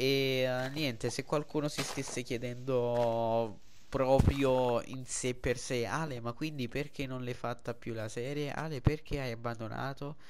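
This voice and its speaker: Speaking at a fairly slow pace, a man uses a medium pitch and a monotone, flat intonation. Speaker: gaming youtuber. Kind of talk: gameplay commentary. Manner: halting.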